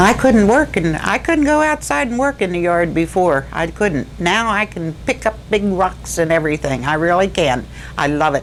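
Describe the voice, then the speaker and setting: This woman keeps a moderate pace while noticeable background noise carries on. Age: 70s. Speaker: patient giving testimonial. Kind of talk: testimony.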